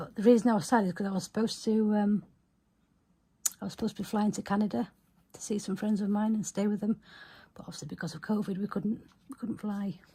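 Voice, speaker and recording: Mumbling at a very fast pace, a woman with a dark, mellow, somewhat breathy tone keeps her intonation fairly even, with long, frequent pauses and big swings in loudness. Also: medium pitch for a woman. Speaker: small business owner, journaling vlogger. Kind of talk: casual video chat, journal flip-through.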